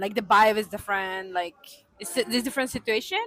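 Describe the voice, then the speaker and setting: A woman with a fairly high pitch and ordinary pitch variation speaks over music in the background. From Mexico. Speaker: expat office worker. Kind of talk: casual interview chat. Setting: cafe. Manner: halting non-native phrasing.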